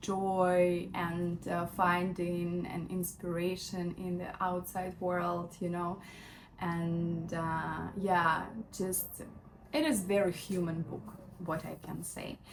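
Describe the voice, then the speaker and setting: A woman at a fairly low pitch, monotone and flat, at a very slow pace amid audible room echo. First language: not English. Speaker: lifestyle vlogger. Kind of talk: casual book review vlog. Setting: at home in bedroom. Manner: hesitant, many fillers.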